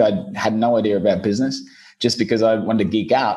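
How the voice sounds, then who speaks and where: A man talks at a very fast pace with a slight Australian accent. His intonation is lively. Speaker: SEO business owner. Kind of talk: podcast interview.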